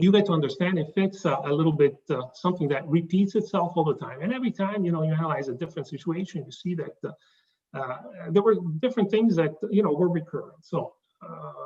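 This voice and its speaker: Talking at a very fast pace, a man with a high pitch shows ordinary pitch variation and big swings in loudness. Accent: slight Italian. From southern Italy. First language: Italian. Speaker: consultant presenting his business. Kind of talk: business presentation. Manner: halting, many fillers.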